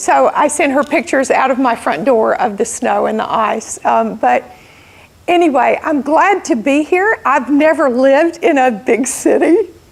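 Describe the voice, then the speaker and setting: A high-pitched woman with an American accent, lively intonation and very even loudness, over noticeable background noise. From US South, southern Alabama. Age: 60s. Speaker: entrepreneur and guest speaker. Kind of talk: motivational talk to audience. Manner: slow.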